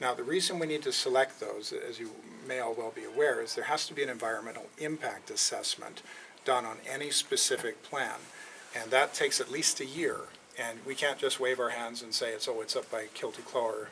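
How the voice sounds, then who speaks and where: A man speaks with a Canadian accent at a fairly quick pace. There is noticeable background noise. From western Canada. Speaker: company executive. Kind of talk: public Q&A. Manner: halting, many fillers.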